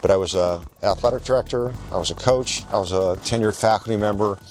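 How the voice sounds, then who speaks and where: Against noticeable background noise, a man with a fairly low voice speaks very fast with ordinary pitch variation. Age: 60s. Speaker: university president. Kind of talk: interview.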